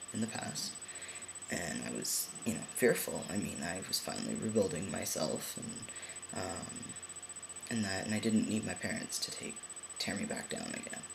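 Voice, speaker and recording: Noticeable background noise and audible room echo around a man at a moderate pace. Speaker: vlogger. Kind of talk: personal vlog update. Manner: hesitant, many fillers.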